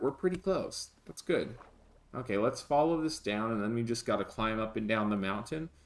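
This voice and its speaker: A man at a moderate pace, with very wide pitch swings. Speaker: gaming streamer. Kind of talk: live gameplay commentary. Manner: repetitive.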